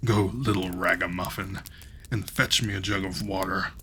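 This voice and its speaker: A man puts on a booming character voice with a very deep, low pitch at a moderate pace. Background noise is clear. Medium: read story. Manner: archaic thee-and-thou speech.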